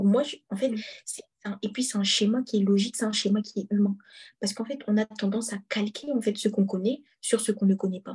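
Somewhat breathy, a woman speaks at a fairly quick pace with a fairly high pitch and fairly even intonation. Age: 20s. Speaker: student sharing a faith testimony. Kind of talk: testimony.

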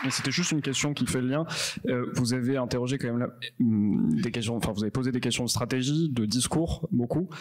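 Against noticeable background noise, a man talks at a fairly quick pace in a medium pitch, with ordinary pitch variation and very even loudness. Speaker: event moderator. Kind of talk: moderating, introducing guests.

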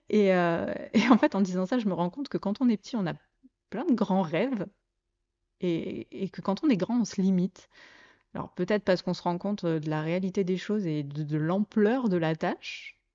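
The pace is moderate. The intonation is lively. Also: woman, medium pitch for a woman. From southeastern France (Côte d'Azur, Provence). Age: 30s. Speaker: podcast host. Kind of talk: casual monologue. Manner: hesitant, many fillers.

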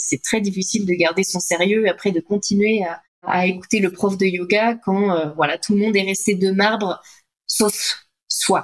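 A woman talks at a moderate pace and a medium pitch. Her intonation is fairly even. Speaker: health coach for entrepreneurs. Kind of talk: interview conversation. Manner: hesitant, many fillers.

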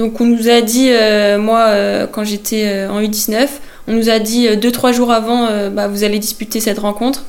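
Over noticeable background noise, a woman with a fairly high pitch speaks at a very slow pace. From Brittany, France (Vannes area). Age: 20s. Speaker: footballer. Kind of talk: interview. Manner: hesitant with fillers.

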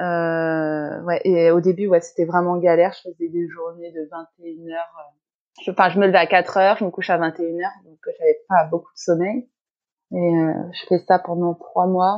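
A woman talks at a very slow pace in a flat monotone with a fairly low pitch, her loudness swinging widely. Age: 30s. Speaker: pastry chef and shop owner. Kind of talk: interview. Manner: hesitant with frequent fillers.

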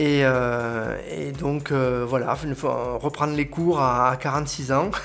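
Mostly level delivery from a man at a medium pitch, with noticeable noise behind him. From southern France, Aude. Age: 40s. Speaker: local web TV presenter and butcher. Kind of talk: interview.

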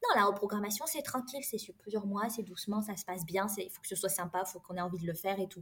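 A woman at medium pitch talks at a very fast pace with ordinary pitch variation, amid noticeable background noise. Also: hardly any pauses. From France. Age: 30s. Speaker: engineer and career coach. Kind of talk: interview.

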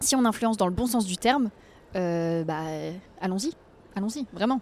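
A woman is talking with lively intonation. Her pace is fairly quick. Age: 20s. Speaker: environmental influencer. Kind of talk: casual interview. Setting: outdoors on a Paris street bench.

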